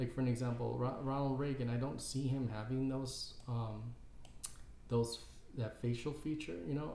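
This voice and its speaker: With audible room echo, a man of medium pitch speaks at a fairly slow pace in a dark, mellow, somewhat breathy tone. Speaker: caricature artist and YouTuber. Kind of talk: casual tutorial. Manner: halting, many fillers and repeats.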